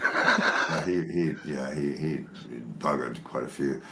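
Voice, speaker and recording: A man's very slow speech, very deep and low in pitch with very wide pitch swings, amid audible room echo and noticeable background noise. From southern England, Dorset. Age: 60s. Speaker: guest on a live stream. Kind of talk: casual chat. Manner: halting with repetitions.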